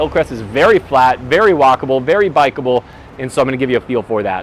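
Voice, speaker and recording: Over noticeable background noise, a man with an energetic tone and lively intonation speaks at a medium pitch. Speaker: real estate agent vlogger. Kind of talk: walking tour vlog. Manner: casual, energetic.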